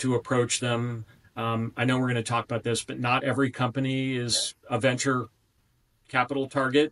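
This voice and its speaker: A man speaks in an American accent with monotone, flat intonation. The background is quiet. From Southwest Florida; Florida. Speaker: venture forum president; podcast guest. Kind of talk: interview. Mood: calm, informative. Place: home room. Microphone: webcam.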